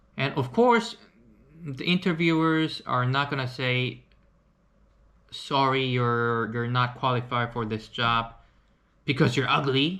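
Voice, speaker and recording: In a Korean accent and a bright, sharp tone, the speaker goes at a fairly slow pace with long, frequent pauses and ordinary pitch variation. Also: man, medium pitch for a man. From South Korea. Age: 30s. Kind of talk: casual talk to camera.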